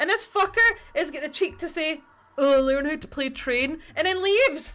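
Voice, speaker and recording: An extremely high-pitched woman's voice in a Scottish accent, lively in intonation, at a moderate pace. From Scotland. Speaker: livestreamer painting miniatures. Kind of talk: casual livestream chat. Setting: livestream.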